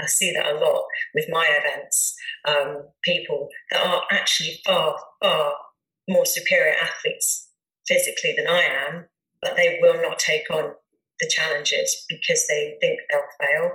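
A woman projects a raised voice at an extremely high pitch, with a bright, sharp tone. She speaks fairly slowly in a monotone, flat intonation. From southern England, Dorset. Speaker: ultra endurance athlete. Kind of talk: interview.

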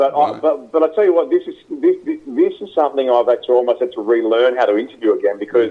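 With an Australian accent, a man talks at a very fast pace. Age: 30s. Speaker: radio host. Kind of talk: interview.

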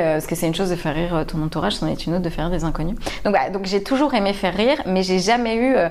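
This is a woman speaking. Her pitch is medium. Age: 30s. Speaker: comedian. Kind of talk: casual interview chat.

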